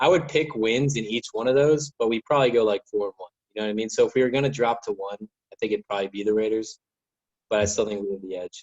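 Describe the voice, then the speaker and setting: In a dry, close sound with no echo, a man of medium pitch speaks at a very fast pace, showing ordinary pitch variation and big swings in loudness. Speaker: sports podcast guest. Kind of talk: casual sports chat.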